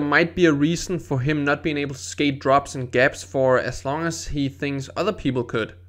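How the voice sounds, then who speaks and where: A man talks at a very fast pace with a non-native accent. His pitch is fairly high. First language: not English. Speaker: skateboarding youtuber. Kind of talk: video voiceover tutorial. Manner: casual.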